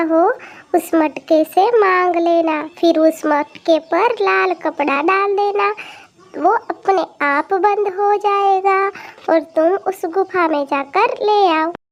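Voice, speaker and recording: A cartoonish character voice from a woman, pitched extremely high and delivered at a fairly slow pace. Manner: gentle, affectionate, calls listener "beta".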